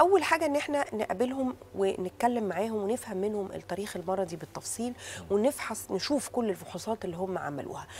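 Over light background noise, a woman talks at a fairly quick pace with lively intonation and hardly any pauses. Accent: Egyptian. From Egypt. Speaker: fertility doctor. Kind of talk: TV talk show interview. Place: studio.

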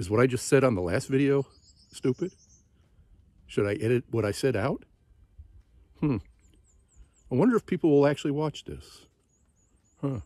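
A man with a dark, mellow tone and lively intonation, at a moderate pace with long, frequent pauses, dry sound with no echo, quiet background. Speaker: long-distance hiker vlogger. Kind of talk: casual vlog chat. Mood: reflective, musing. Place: forest. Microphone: phone near.

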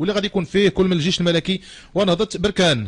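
A man speaks at a very fast pace. His pitch is high. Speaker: radio show host. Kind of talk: radio sports talk show. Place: studio.

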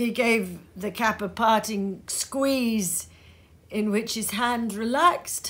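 The voice is plain reading aloud. Its intonation stays fairly even.

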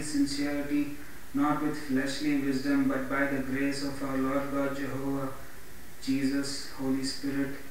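Strong room echo and light background noise surround a man who speaks at a fairly slow pace with monotone, flat intonation. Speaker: pastor and evangelist. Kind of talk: Bible reading with preaching intro. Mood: earnest devotional. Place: home room.

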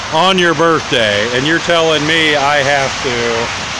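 Loud noise in the background, with a dry sound lacking any echo. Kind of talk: casual vlog chat. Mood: relaxed, playful. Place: garden. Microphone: phone near.

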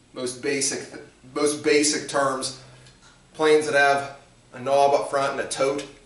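A man speaks at a moderate pace. There is audible room echo around his voice. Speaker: shop teacher. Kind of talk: lecture to students. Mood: dry humorous. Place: workshop. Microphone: camera far.

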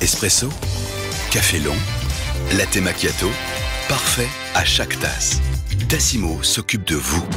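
Clear music plays in the background as a man speaks at a fairly slow pace. He leaves long, frequent pauses. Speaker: voice actor. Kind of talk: TV commercial read. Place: studio. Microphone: studio mic.

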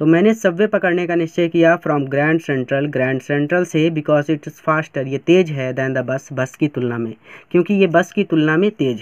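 A man talks with hardly any pauses and ordinary pitch variation. The sound is dry and close, with no echo. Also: fairly high pitch for a man. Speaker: teacher. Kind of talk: lecture. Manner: slow.

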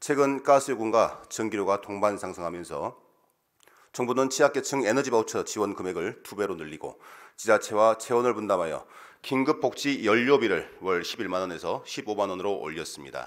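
A man's lively intonation at a moderate pace, with big swings in loudness over a quiet background. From South Korea, South Jeolla (Muan). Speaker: provincial council member. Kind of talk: formal speech presenting a motion. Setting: council plenary session. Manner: formal. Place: hall. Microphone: podium.

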